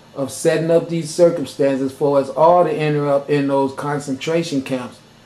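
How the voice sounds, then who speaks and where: A man's fairly high voice moves at a moderate pace against noticeable background noise. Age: 50s. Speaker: video blogger. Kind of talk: monologue rant. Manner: animated.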